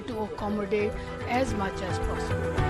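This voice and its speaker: A woman at fairly high pitch and a moderate pace, with noticeable background noise. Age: 80s+. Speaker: community volunteer. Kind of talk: radio interview.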